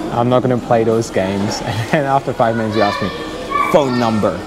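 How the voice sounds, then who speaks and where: Over crowd noise in the background, a man talks at a fairly quick pace with ordinary pitch variation. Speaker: travel vlogger. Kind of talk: casual vlog chat. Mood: amused storytelling. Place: station. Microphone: phone near.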